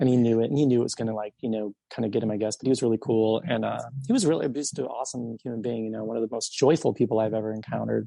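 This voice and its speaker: With an American accent, a man talks at a very fast pace in a medium-pitched voice with fairly even intonation. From US Midwest, Belleville, Illinois. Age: 40s. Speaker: musician. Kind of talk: interview. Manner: hesitant, many fillers.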